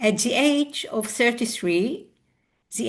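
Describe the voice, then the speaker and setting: A woman's fairly high, somewhat breathy voice is heard against a quiet background. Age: 60s. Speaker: biographical counselor. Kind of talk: interview. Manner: halting.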